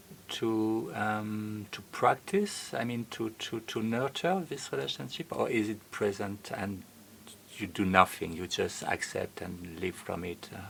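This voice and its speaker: This is an unremarkable speaking voice, a man's at a fairly low pitch. He talks at a fairly slow pace with ordinary pitch variation. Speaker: podcast host. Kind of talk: interview question.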